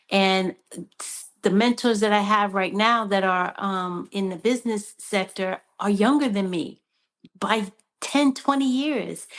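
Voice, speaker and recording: In a plain, everyday voice, a woman talks at a fairly slow pace with a fairly high pitch and ordinary pitch variation over a quiet background. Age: 60s. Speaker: panelist. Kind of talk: panel discussion.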